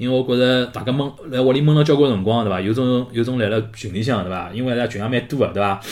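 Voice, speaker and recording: A man races along at a very fast pace with hardly any pauses and ordinary pitch variation. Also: medium pitch for a man. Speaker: podcast host. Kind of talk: casual monologue livestream chat. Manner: animated; halting.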